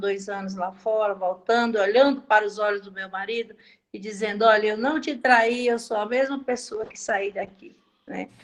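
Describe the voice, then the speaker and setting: In a plain, everyday voice, a woman speaks at a moderate pace with fairly even intonation. Her pitch is fairly high, and the background is quiet. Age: 60s. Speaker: course participant, former nursing technician. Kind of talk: question in online class.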